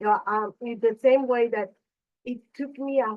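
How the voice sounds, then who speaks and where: At a moderate pace, a woman with a non-native accent speaks with ordinary pitch variation. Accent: foreign. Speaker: advisor. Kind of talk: panel discussion.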